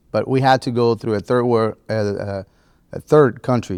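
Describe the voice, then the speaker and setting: Moving at a moderate pace, a man speaks with fairly even intonation. The recording is very clean, with a silent background. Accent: Spanish. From Cuba, then Spain and Florida. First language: Spanish. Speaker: farrier and inventor. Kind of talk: casual chat.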